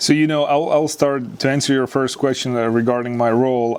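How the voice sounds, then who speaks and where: Someone with a Serbian accent talks at a very fast pace with fairly even intonation. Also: man. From Serbia, Novi Sad. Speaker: sports scientist and former basketball player. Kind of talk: interview. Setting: studio. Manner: hesitant, many fillers.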